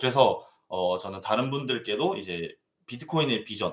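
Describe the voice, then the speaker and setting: A man speaks at a moderate pace with vocal fry. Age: 20s. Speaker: crypto mining business manager and lecturer. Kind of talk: live online lecture. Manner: speeds up when excited; halting, stumbles over words.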